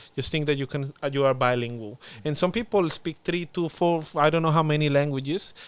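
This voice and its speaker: With a strong Spanish accent, a man speaks at a fairly quick pace in a fairly high voice. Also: ordinary pitch variation. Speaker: former international student, youth policy officer. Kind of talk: casual podcast interview. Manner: halting, many fillers.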